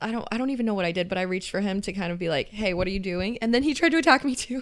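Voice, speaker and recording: Speaking very fast, a woman uses lively intonation at a medium pitch. She has an American accent. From US, Southern California (LA County). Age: 20s. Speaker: podcast co-host. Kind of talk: casual chat. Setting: home office.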